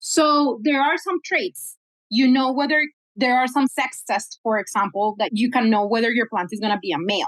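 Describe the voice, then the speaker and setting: A woman speaks in a Spanish accent at a high pitch with lively intonation and a moderate pace. The sound is dry and close, with no echo. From Colombia. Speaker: cannabis geneticist, scientist. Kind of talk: podcast interview.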